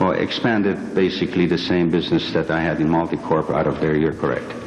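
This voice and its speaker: Very deep and low, a man's voice moves at a very fast pace with fairly even intonation and very even loudness. Noticeable background noise and audible room echo surround it. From Iran. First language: Persian. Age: 50s. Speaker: witness at a congressional hearing. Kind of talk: testimony. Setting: hearing room. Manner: formal. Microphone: too far from the microphone.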